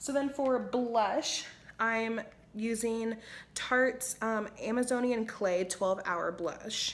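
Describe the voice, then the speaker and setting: Here is a woman with a plain, everyday voice. Her pitch is fairly high and her intonation lively. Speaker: beauty vlogger. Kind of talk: makeup tutorial. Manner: casual, chatty.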